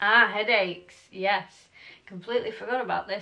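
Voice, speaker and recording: A woman speaks with an English accent at a moderate pace. Her tone is bright and sharp. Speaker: mummy vlogger. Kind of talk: casual vlog talk to camera. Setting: daughter's bedroom.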